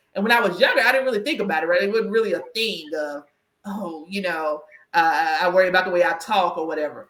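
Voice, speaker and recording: At a very fast pace, a woman with an American accent talks at a medium pitch with ordinary pitch variation. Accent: country twang. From US South. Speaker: career coach and podcast host. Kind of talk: casual interview chat.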